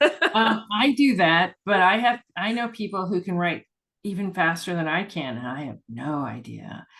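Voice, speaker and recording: Vocal fry and very wide pitch swings from a woman at medium pitch, moderate pace, over a quiet background. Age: 60s. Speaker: urban fantasy author. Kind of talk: casual interview chat. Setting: video call.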